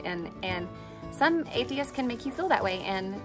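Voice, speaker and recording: A woman speaks at a moderate pace. Clear music sits in the background. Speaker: faith show host. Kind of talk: personal devotional talk. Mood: earnest, reflective. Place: open country.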